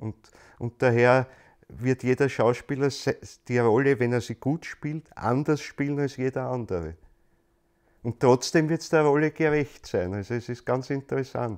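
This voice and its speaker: A man with a Viennese accent at medium pitch and a fairly slow pace, ordinary pitch variation, long, frequent pauses, and a quiet background. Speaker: lecturer on anthroposophy, stage actor. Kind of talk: lecture. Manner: repetitive, halting restarts.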